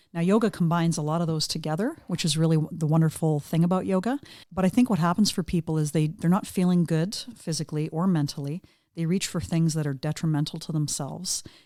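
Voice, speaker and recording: Speaking at a fairly quick pace, a woman has a Canadian accent. Her tone is dark and mellow. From Canada. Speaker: yoga instructor. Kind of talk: interview answer. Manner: casual, conversational.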